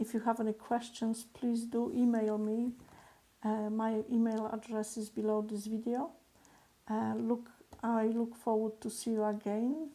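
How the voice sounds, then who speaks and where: A woman with a non-native accent speaks at a fairly high pitch and a fairly slow pace. Her tone is dark and mellow, her intonation monotone and flat. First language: not English. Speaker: business coach. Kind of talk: motivational talk to camera. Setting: recorded video alone. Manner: hesitant, many fillers.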